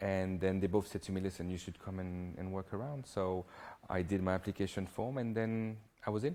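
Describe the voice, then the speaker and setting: In a French accent, the voice moves at a fairly quick pace with a dark, mellow tone and fairly even intonation. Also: man, very deep, low pitch for a man. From southern France. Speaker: hairdresser. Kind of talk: interview.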